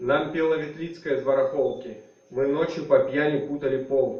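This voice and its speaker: This man talks at a very fast pace with a fairly high pitch. Noticeable background noise and audible room echo surround him. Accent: Russian. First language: Russian. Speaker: writer. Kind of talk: literary reading; spoken introduction. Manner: halting, many fillers.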